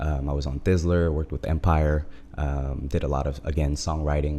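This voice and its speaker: Noticeable background noise sits behind the voice. The pace is fairly quick and the intonation fairly even. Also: man. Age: 20s. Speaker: music label founder. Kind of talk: casual chat. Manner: hesitant with frequent fillers.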